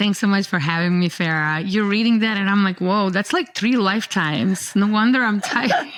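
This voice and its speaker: A woman with a Yugoslav accent at medium pitch, fairly quick pace, hardly any pauses, ordinary pitch variation and very even loudness, over noticeable background noise. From former Yugoslavia. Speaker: dermatologist and researcher. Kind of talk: podcast interview. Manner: energetic.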